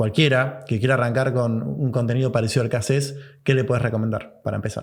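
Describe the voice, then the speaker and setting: A man with a Rioplatense accent talks very fast, his medium-pitched voice showing ordinary pitch variation. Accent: Argentine Rioplatense Spanish. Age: 30s. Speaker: podcast host. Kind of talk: podcast interview.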